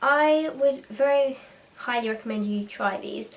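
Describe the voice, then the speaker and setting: A woman with a British accent and ordinary pitch variation. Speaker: vlogger. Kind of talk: tutorial. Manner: fast.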